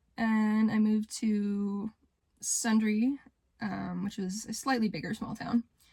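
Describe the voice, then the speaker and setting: A woman with a western Canadian accent speaks in a fairly high pitch, her voice somewhat breathy. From Canada, rural Alberta. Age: young. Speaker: vlogger. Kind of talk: personal vlog monologue. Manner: hesitant, with filler words.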